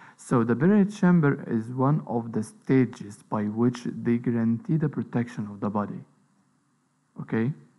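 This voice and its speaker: A man's medium-pitched, normal speaking voice at a moderate pace, with lively intonation. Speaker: lecturer. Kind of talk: lecture.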